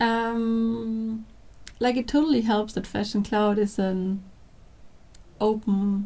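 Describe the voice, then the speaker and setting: This woman's fairly high voice is somewhat breathy, with a dark, mellow tone and monotone, flat intonation. She speaks at a very slow pace with long, frequent pauses. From Austria. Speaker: product manager. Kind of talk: casual interview.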